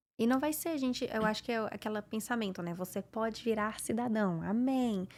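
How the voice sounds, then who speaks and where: A woman uses an ordinary speaking voice, fairly high in pitch with ordinary pitch variation. She keeps a moderate pace on a very clean recording with a silent background. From Brazil, Minas Gerais. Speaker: English teacher, immigrant. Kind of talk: podcast interview.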